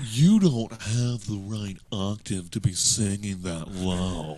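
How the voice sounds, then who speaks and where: A man puts on a character voice with a pompous tone and fairly low pitch. He delivers it at a fairly slow pace. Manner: snooty, pompous.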